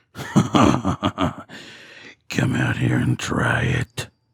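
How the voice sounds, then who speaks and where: A man puts on a character voice that is raspy and very deep, low in pitch. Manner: taunting.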